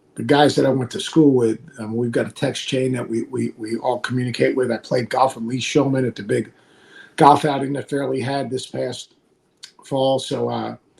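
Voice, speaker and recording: Moderate in pace, a man speaks in a plain, everyday voice. His pitch is medium and his intonation fairly even. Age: 60s. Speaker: college basketball analyst and former coach. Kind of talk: podcast interview.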